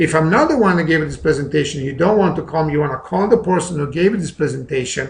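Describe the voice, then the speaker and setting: With a non-native accent, a man talks very fast with hardly any pauses, his pitch fairly high and varying in an ordinary way, over noticeable background noise. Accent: noticeable foreign. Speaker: network marketing presenter. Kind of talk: sales pitch. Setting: recorded webinar.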